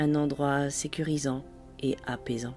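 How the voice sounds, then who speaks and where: A woman's very deep, low voice at a very slow pace, with music in the background. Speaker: meditation guide. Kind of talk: guided sleep meditation. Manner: slow, soft-spoken.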